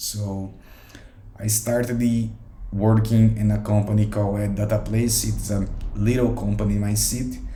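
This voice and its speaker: A man speaks at a fairly slow pace in a Portuguese accent. Audible room echo surrounds his voice. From Brazil, São Paulo state. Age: 20s. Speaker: software developer practicing English. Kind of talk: solo monologue. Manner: halting.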